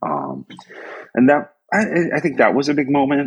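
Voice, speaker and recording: Speaking at a moderate pace, a man with a US Northeastern accent has a very deep, low pitch and vocal fry. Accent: US Northeast. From upstate New York. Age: 50s. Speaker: graphic designer and design professor. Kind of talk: casual interview. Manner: casual, filler-heavy.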